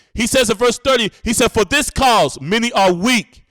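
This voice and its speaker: An animated man at a moderate pace with ordinary pitch variation, in a dry, close sound with no echo on a very clean recording with a silent background. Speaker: bible teacher. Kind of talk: sermon. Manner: stutters at times.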